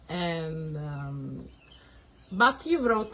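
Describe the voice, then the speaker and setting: This woman speaks with an Italian accent at a fairly low pitch. Her intonation is lively. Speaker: interviewer. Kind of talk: interview.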